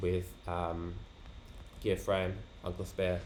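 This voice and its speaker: This man's voice sits at a very deep, low pitch. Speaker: card game player. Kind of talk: casual talk to camera.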